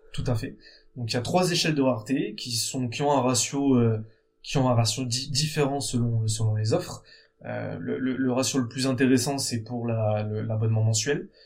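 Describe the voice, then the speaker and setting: With audible room echo, a man speaks at medium pitch and a moderate pace, his pitch varying in an ordinary way. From France, Bordeaux. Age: 30s. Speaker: entrepreneur, founder of a jersey business. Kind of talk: interview. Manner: halting, with frequent repetitions.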